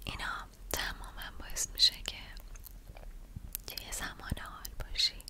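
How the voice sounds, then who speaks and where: A woman whispering at a fairly slow pace, with long, frequent pauses and noticeable background noise. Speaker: ASMR creator. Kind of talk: guided mindfulness / relaxation talk. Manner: whispered, soft-spoken, slow.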